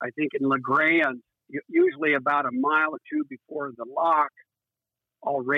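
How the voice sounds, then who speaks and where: A man with an American accent and fairly high pitch talks at a moderate pace, with fairly even intonation. He takes long, frequent pauses. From Iowa, US Midwest. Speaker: recreational boater. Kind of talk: casual interview. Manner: halting, many fillers.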